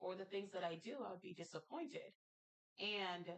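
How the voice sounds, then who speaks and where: A woman's animated tone at a fairly quick pace. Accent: slight Jamaican. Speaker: talk show host. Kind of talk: casual interview chat. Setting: studio.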